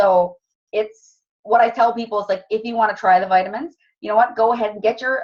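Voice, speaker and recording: A woman talking at a very fast pace, with ordinary pitch variation. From Cape Breton, Nova Scotia. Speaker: wellness product distributor. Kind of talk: sales presentation. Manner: casual.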